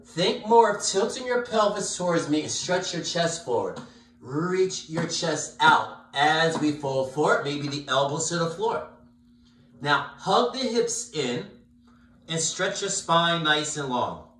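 A man with a high pitch speaks at a fairly slow pace, with audible room echo around him. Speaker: yoga instructor. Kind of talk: guided yoga class. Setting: live-streamed video class. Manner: calm, soothing, slow-paced cueing. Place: home room. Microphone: camera far.

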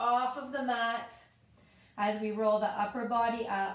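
Here a woman speaks in a high voice with fairly even intonation. Room echo is audible. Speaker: fitness instructor. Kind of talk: guided exercise tutorial. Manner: calm, even, instructional pacing with clear step-by-step cues; friendly and encouraging.

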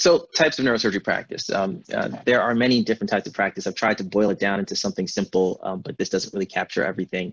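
Speaking very fast with lively intonation, a man with an American accent uses a fairly low pitch against a quiet background. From Milwaukee, Wisconsin and Accra, Ghana. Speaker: neurosurgeon; speaker. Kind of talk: lecture. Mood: warm, reflective. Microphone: video call.

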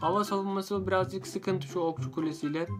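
Clear music runs in the background behind a man speaking with ordinary pitch variation. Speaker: gaming video creator. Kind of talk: casual gameplay commentary. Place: home room.

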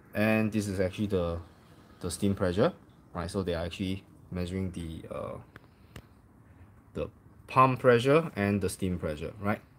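A man with a fairly low pitch speaks at a moderate pace, with ordinary pitch variation and long, frequent pauses, over light background noise. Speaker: coffee enthusiast reviewer. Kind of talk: casual tutorial commentary. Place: home room. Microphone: phone near.

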